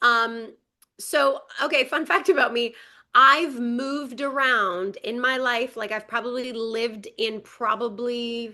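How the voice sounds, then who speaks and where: In a quiet setting, a woman speaks fairly slowly with a bright, sharp tone, high pitch and ordinary pitch variation. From Quebec, Montreal. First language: French. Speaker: actress. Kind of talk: casual chat.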